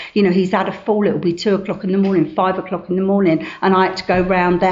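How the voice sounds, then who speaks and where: A woman at a fairly quick pace, monotone and flat in intonation, amid noticeable background noise. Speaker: recovering addict sharing at a meeting. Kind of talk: testimony. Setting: meeting room with audience. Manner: fast.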